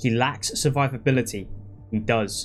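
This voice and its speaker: A man's voice sits at a medium pitch. Music can be heard in the background. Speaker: gaming youtuber. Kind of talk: casual commentary. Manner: halting; animated.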